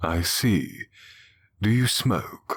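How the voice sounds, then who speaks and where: A fairly low-pitched man's put-on character voice. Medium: read story. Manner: blunt, businesslike.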